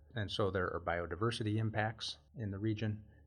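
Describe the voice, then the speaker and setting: This man has a plain, everyday voice with a fairly low pitch. He talks at a fairly quick pace with ordinary pitch variation. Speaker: geography professor, remote sensing researcher. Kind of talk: interview.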